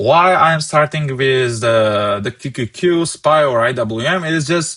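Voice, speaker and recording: A man talks at a fairly slow pace with a non-native accent and lively intonation. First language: not English. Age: 20s. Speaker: stock market trader and streamer. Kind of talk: live market analysis stream. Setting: live stream with chat.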